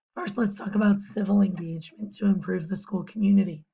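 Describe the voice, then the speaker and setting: A woman talks with a dark, mellow tone that is somewhat breathy. Her medium-pitched voice keeps a fairly even intonation. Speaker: teacher and volleyball coach. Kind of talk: class presentation.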